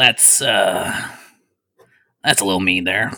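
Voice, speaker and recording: Putting on a character voice, a man speaks in a raspy, fairly low-pitched tone. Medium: actual play. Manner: cheerful, rambling, oblivious.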